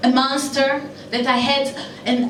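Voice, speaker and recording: A woman speaks at a high pitch. Her voice carries audible room echo, with noticeable background noise behind it. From Israel. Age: 40s. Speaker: comedian. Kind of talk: stand-up. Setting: stage with audience.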